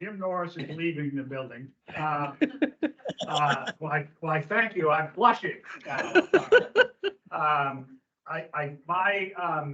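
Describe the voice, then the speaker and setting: With a bright, sharp tone and fairly high pitch, a man speaks at a very slow pace with ordinary pitch variation and long, frequent pauses. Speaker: board member. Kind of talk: board meeting discussion. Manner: quiet.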